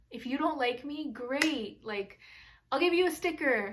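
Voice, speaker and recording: A loud woman's voice with ordinary pitch variation and audible room echo. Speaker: lifestyle vlogger. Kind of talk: casual vlog talk. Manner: loud, outgoing.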